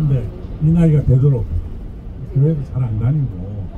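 Through noticeable background noise, a man talks very slowly. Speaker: passenger giving testimony. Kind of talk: testimony interview answer. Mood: warm, humorous storytelling. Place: bus. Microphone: handheld.

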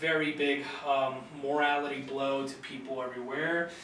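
A man's voice comes with noticeable room echo and some light noise in the background. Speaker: university student. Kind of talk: recorded class presentation. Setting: video recording. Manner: hesitant, many fillers. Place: classroom. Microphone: camera far.

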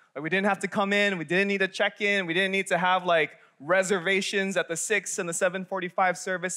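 Against a quiet background, a man talks at a fairly quick pace in a raised, projected voice, bright and sharp, with fairly even intonation. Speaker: young adult pastor. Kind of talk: sermon. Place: church. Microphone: headset.

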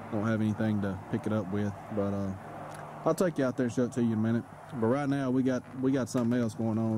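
A man talks at a very fast pace, the sound dry with no echo and light background noise behind him. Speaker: homesteader vlogger. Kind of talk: casual vlog chat. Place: open country. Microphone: phone near.

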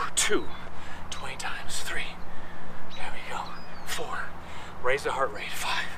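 With noticeable background noise behind him, a man speaks at a very slow pace. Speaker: fitness instructor. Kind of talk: guided workout class, cueing yoga flows and reps in real time. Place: garden.

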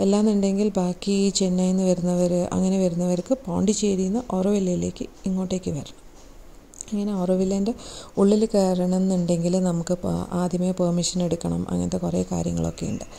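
Vocal fry runs through a woman's fairly low-pitched, dark, mellow voice. She talks at a fairly quick pace with little pitch movement.

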